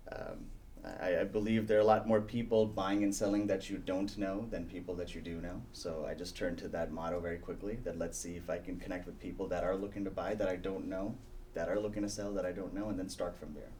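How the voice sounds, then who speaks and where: A man speaks at a very fast pace in a fairly low pitch, with a dark, mellow tone. His intonation is fairly even, and audible room echo surrounds him. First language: not English. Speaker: real estate team leader. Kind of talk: interview. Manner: many fillers and hesitations.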